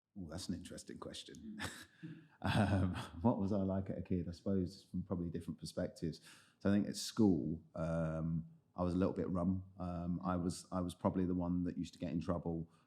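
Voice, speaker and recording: In a London accent, a man with a very deep, low voice and a dark, mellow tone speaks fairly quickly, his intonation fairly even while his loudness swings widely. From London (Lewisham, southeast). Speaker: head of product in tech, podcast guest. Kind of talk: interview conversation.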